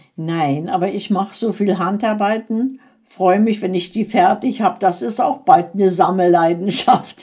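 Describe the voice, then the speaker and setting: The speech comes at a fairly slow pace with hardly any pauses, over noticeable background noise. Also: woman, medium pitch for a woman, ordinary pitch variation. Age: 80s+. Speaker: grandmother being interviewed. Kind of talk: casual chat.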